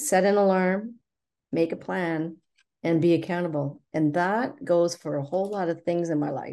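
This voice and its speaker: At a moderate pace, a woman speaks in a fairly low pitch with a dark, mellow tone. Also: ordinary pitch variation. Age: 60s. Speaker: chronic fatigue patient sharing recovery story. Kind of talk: interview testimony.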